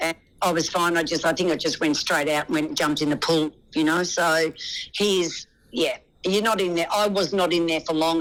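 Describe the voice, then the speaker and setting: A woman with an Australian accent speaks at a fairly low pitch and a moderate pace. Her loudness stays very even and her intonation fairly even. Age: 60s. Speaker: reality TV contestant. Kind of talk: interview answer.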